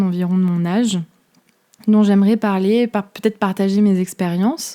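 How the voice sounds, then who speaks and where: A woman speaks at a fairly slow pace. Her voice has a medium pitch and a dark, mellow tone. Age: 20s. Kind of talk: casual podcast talk. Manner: casual, chatty.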